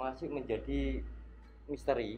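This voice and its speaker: A man speaking quietly. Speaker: ghost-hunting explorer vlogger. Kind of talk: on-location exploration vlog. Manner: quiet, low voice.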